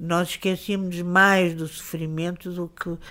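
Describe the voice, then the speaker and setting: A woman with a Lisbon accent speaks fairly slowly at a fairly low pitch. The recording is very clean, with a silent background. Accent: European Portuguese (Lisbon). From Portugal, Lisbon. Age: 70s. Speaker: writer and journalist. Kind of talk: interview. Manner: hesitant, with repetitions.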